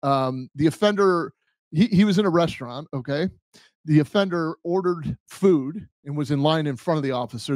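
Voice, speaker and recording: Against a quiet background with a dry sound and no echo, a man speaks at a fairly quick pace with lively intonation and a fairly high pitch for a man. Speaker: podcast host, former police officer. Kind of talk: casual podcast chat. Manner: hesitant, many fillers. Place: home room. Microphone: studio mic.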